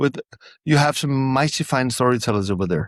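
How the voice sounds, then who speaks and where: Pitch swings very widely in this voice with a non-native accent, at a moderate pace. The sound is dry and close with no echo, over a quiet background. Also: man. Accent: non-native English, noticeable. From Denmark. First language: Danish. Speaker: storyteller. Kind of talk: interview. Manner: halting.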